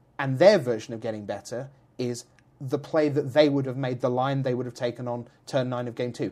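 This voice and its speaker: A man with a British accent talks at a fairly quick pace and a medium pitch. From Britain. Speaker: esports commentator and statistician. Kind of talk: podcast interview. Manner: animated.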